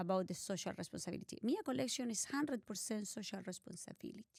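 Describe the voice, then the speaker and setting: A woman speaks with a Spanish accent at medium pitch. The sound is dry and close, with no echo. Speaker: art collector and philanthropist. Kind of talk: interview. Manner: halting.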